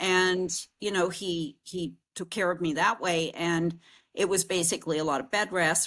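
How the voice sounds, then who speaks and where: This is an ordinary speaking voice at a moderate pace with fairly even intonation. The recording is very clean, with a silent background. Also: woman. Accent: American. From US Northeast. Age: 60s. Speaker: podcast host. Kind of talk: casual interview chat.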